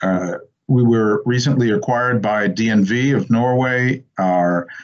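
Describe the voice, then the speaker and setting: In a normal speaking voice, a man with an American accent talks at a fairly slow pace and medium pitch, with ordinary pitch variation and very even loudness. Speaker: company representative. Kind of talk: business presentation.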